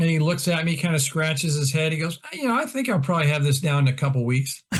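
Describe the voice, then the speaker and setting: An American-accented man talks at a very fast pace and a fairly high pitch. His loudness stays very even, with ordinary pitch variation. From Iowa, US Midwest. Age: 60s. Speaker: golf instructor. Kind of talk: casual chat.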